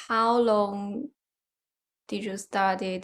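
A woman at medium pitch in a Chinese accent, with fairly even intonation and a very slow pace. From China. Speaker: podcast host. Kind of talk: casual conversation.

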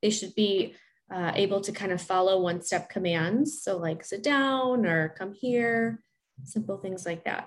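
On a very clean recording with a silent background, a woman with an American accent speaks at a fairly slow pace and medium pitch, somewhat breathy, with ordinary pitch variation. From Chicago area. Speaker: speech-language pathologist. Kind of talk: interview, expert advice.

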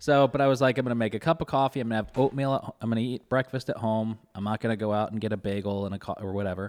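Recorded very cleanly with a silent background and a dry, close sound with no echo, a man talks at a very fast pace with hardly any pauses, medium pitch and ordinary pitch variation. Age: 30s. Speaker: podcast host and restaurant owner. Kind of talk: show intro and outro; casual chat.

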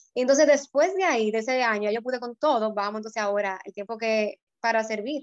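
A woman speaks at a fairly high pitch with ordinary pitch variation in a dry, close sound with no echo. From Dominican Republic, Puerto Plata. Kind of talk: casual chat. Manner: hesitant, many fillers.

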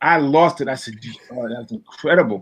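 In a Brooklyn accent, a man speaks at a moderate pace with lively intonation. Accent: New York (Brooklyn). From Brooklyn, New York. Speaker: songwriter and producer. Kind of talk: interview.

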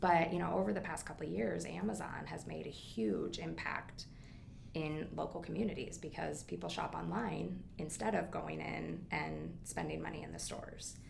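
The delivery comes at a moderate pace. It is spoken with a Midwestern American accent. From US Midwest, Quad Cities (Iowa/Illinois). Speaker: business founder and CEO. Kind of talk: interview. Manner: animated, frequent laughter.

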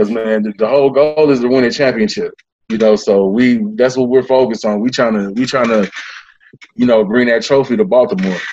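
A man talks in an unremarkable speaking voice. His pitch is medium, with ordinary pitch variation. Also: fairly quick pace. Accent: American. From US West Coast (Bay Area, California). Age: 30s. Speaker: simulation football league player. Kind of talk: casual interview.

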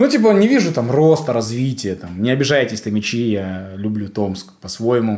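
A man has a plain, everyday voice at medium pitch with ordinary pitch variation. He talks at a moderate pace with hardly any pauses. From Kazakhstan, East Kazakhstan region. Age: 20s. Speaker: comedian and showrunner. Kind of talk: casual chat.

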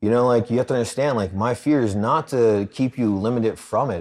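With an American accent and a normal speaking voice, a man speaks at a medium pitch and moderate pace on a very clean recording with a silent background. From Philadelphia, US. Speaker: anti-trafficking charity founder and army veteran. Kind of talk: casual interview.

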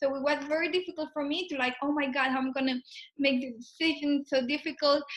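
Very fast and fairly even in intonation, a woman speaks at a high pitch with a Spanish accent. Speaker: podcast host, product owner. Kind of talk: casual interview. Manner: halting.

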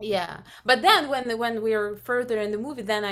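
Here a woman with a Russian accent speaks at a fairly high pitch. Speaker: film composer. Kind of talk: interview. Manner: halting.

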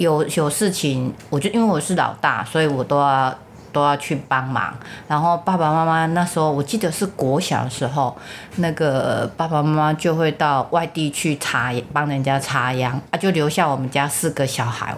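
A woman with a Taiwanese accent speaks at a moderate pace in a very deep, low voice, her loudness very even and her pitch varying in an ordinary way. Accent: Taiwanese Mandarin. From Taiwan, rural Changhua County. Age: 50s. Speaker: mother of the host. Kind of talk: casual family interview. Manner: put-on careful retroflex enunciation.

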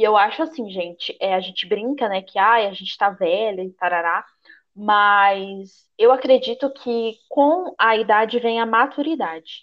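Fairly slow, lively speech from a woman with a fairly high pitch. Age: 20s. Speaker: podcast co-host. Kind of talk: casual chat. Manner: animated.

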